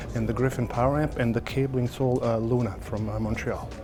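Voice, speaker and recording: Over noticeable background noise, a man with a Serbo-Croatian accent speaks at a fairly quick pace. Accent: Balkan (Serbo-Croatian) accent in English. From former Yugoslavia. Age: 60s. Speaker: audio dealer. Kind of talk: interview. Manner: halting.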